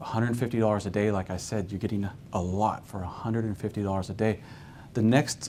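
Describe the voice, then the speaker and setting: Talking at a very fast pace, a man keeps a fairly low pitch. His intonation stays fairly even. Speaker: care home founder giving a presentation. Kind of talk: business presentation.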